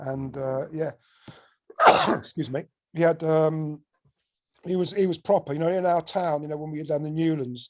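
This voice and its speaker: The man's tone is dark and mellow, his pitch fairly high. He keeps a moderate pace with fairly even intonation. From southern England, Buckinghamshire (Slough, High Wycombe). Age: 60s. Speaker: record producer. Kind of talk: casual interview chat. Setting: podcast interview.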